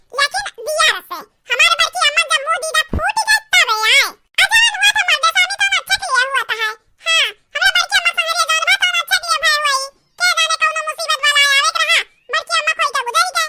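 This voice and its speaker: A woman puts on a character voice with an extremely high pitch and very wide pitch swings. She talks at a fairly quick pace, in a dry, close sound with no echo. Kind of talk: comic village melodrama. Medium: comedy sketch.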